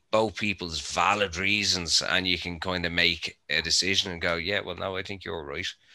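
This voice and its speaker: In an Irish accent, a man with a very deep, low pitch and a bright, sharp tone speaks at a moderate pace on a very clean recording with a silent background. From Ireland. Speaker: cannabis grower, podcast panelist. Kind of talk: casual chat.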